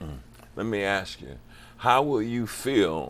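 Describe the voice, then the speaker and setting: The man here speaks at a fairly low pitch. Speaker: pastor and health channel host. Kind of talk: interview. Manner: animated.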